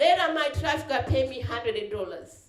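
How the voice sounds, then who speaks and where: A woman's high voice with very wide pitch swings, with audible room echo. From Malawi. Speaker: trafficking survivor speaker. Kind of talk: testimony.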